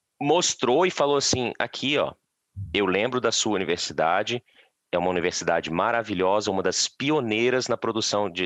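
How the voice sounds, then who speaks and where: In a Minas Gerais accent, a man speaks at a fairly quick pace with a fairly low pitch and lively intonation. The sound is dry and close with no echo, and the background is quiet. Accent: Minas Gerais (mineiro) Portuguese. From Minas Gerais, Brazil. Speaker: forestry engineer, Brazilian immigrant. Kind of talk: casual interview chat.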